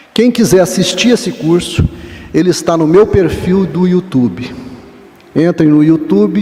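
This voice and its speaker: A man speaking fairly slowly with lively intonation over noticeable background noise. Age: 60s. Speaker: professor. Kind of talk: lecture.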